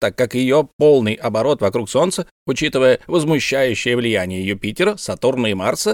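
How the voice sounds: Lively intonation marks a natural reading voice, set against a quiet background.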